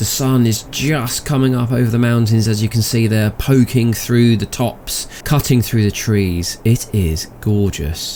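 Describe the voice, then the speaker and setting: With a British accent, a man speaks at a fairly slow pace in a dark, mellow tone and medium pitch. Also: ordinary pitch variation, hardly any pauses. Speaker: gaming video host. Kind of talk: gameplay commentary. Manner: soft-spoken.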